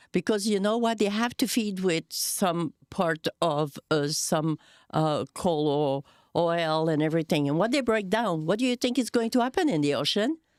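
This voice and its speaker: A woman with a French Canadian accent speaks at a moderate pace and medium pitch, her intonation lively and her loudness very even. The recording is very clean with a silent background, dry and close with no echo. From Quebec. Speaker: podcast co-host. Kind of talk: casual chat.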